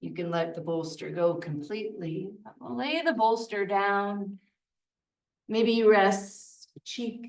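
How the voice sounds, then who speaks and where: This woman has a soothing tone, a medium pitch and lively intonation. She talks at a very slow pace, with big swings in loudness. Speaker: yoga teacher. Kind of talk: guided yin yoga class. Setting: yoga studio, livestreamed. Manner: slow, soothing.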